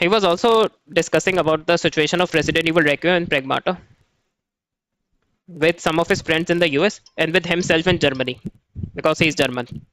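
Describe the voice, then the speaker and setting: In a Pakistani accent, a man with a high pitch talks at a fairly quick pace with long, frequent pauses, fairly even intonation and very even loudness, recorded dry and close with no echo. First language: not English. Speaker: gaming YouTuber. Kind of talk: video commentary. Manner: hesitant, many fillers.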